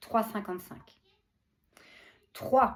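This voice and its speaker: Somewhat breathy, a woman's voice sits fairly high in pitch. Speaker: spiritual channeler. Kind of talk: spiritual message. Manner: warm, affectionate.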